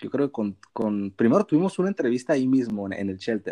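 Dark and mellow in tone, a man talks at a fairly quick pace with very wide pitch swings, in a dry, close sound with no echo. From Mexico, Sinaloa (Costa Rica town). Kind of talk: casual chat.

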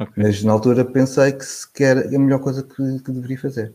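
A man with a medium pitch and a dark, mellow tone speaks in a monotone, flat intonation. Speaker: financial journalist. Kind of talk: casual interview conversation.

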